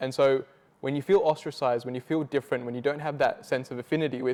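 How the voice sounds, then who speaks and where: A very fast, fairly high-pitched man's voice with an Australian accent, dry and close with no echo, on a very clean recording with a silent background. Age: 20s. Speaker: youth and multicultural advocate. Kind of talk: interview testimony.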